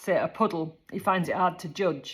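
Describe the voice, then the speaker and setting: Speech with a Yorkshire accent comes at a moderate pace. The recording is very clean, with a silent background. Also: woman. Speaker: horse care advisor. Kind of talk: casual informational talk. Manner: conversational.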